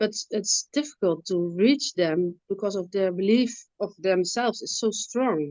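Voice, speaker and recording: Speaking fairly slowly with a non-native accent, the voice shows ordinary pitch variation. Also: woman, medium pitch for a woman. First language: not English. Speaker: webinar attendee, mental health support worker. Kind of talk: audience question. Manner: halting.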